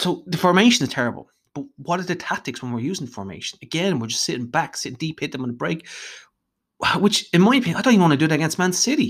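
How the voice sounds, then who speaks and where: An animated, high-pitched man with an Irish accent, very fast, with very wide pitch swings, on a very clean recording with a silent background. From Ireland, Dublin. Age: 30s. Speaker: football fan podcaster. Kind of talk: solo monologue podcast. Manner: animated, ranting.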